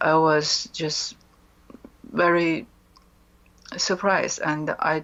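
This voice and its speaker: A woman with a Chinese accent speaks very slowly in a fairly low voice, her intonation fairly even, over noticeable background noise. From China. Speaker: author and mind control survivor. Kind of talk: interview testimony. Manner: hesitant, many fillers.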